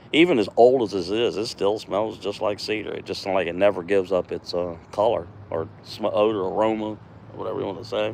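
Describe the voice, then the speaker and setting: Fairly low in pitch, a man speaks in a relaxed tone with ordinary pitch variation. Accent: American. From US East Coast, Virginia. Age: 60s. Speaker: woodcarving livestreamer, retired mail carrier. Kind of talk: casual live stream chat while carving. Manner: relaxed, halting with fillers.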